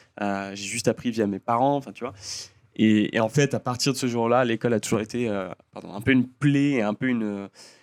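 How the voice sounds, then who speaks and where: A man talks at medium pitch and a moderate pace. His intonation stays fairly even. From France (Lyon), early childhood in the US. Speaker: designer and singer. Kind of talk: casual chat. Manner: hesitant, many fillers.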